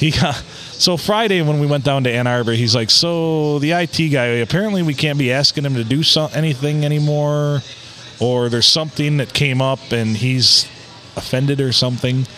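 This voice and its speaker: A man with a fairly high voice, ordinary pitch variation and a moderate pace, over noticeable background noise. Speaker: podcast co-host. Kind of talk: casual chat.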